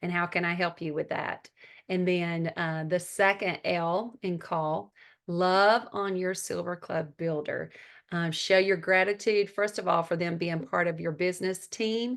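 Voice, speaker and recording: In a strong Southern US accent, a woman speaks at a fairly slow pace with a fairly low pitch. Her intonation stays fairly even against a quiet background. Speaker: network marketing team leader and mentor. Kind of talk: training talk on a group call.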